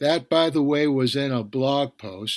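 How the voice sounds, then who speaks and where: In a Bronx accent, the speaker talks at a fairly slow pace with fairly even intonation, recorded in a dry, close sound with no echo. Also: man. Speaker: podcast TV critic. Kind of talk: solo podcast review.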